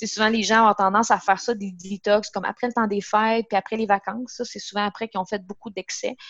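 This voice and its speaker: A woman's very fast, monotone delivery at medium pitch, flat in intonation, with hardly any pauses. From Quebec, Gaspésie (Matapédia Valley). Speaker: nutritionist. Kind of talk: casual interview.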